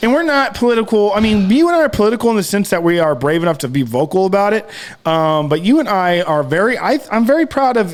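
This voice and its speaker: Speaking at a very fast pace with hardly any pauses, a man uses a high pitch with very wide pitch swings. Noticeable background noise runs behind him. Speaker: podcast co-host. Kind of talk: casual chat. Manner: halting.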